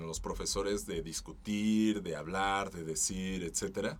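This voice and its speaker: A fairly low-pitched male voice at a very slow pace, with audible room echo. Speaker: voice-over artist. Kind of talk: casual chat.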